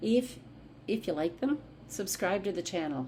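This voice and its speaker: Speaking at a moderate pace in a medium pitch, a woman sounds animated, with very wide pitch swings, audible room echo and noticeable background noise. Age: 60s. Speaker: vlogger. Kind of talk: casual vlog monologue.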